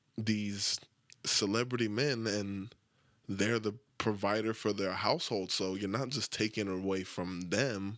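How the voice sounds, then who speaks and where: Mumbling at a fairly slow pace, a man speaks in a fairly low pitch with fairly even intonation on a very clean recording with a silent background. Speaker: podcast host. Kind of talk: casual monologue. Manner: talks without moving lips.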